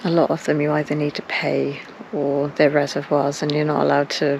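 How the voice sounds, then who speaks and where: Noticeable background noise sits behind a woman with a South Welsh accent. Her pitch is very deep and low, and her intonation is monotone and flat. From South Wales. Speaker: vlogger. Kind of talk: casual vlog monologue. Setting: outdoors and in a car. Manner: whispering.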